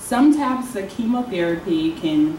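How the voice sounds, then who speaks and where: Lively intonation from a woman, with audible room echo and light background noise. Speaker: oncology nurse. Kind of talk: educational talk. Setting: stage with audience. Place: hall.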